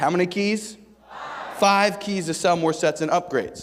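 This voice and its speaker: Loud, animated man at a high pitch and fairly slow pace. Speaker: sales rep speaker at conference. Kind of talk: motivational sales talk to audience.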